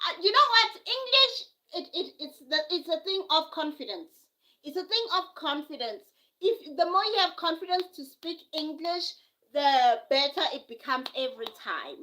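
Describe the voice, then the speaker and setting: A woman with a South African accent speaks in a raised, projected voice at an extremely high pitch and a moderate pace. Her bright, sharp tone moves through very wide pitch swings and big swings in loudness. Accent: South African (Zulu). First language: Zulu. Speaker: live streamer. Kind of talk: casual live stream chat. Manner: repetitive, halting.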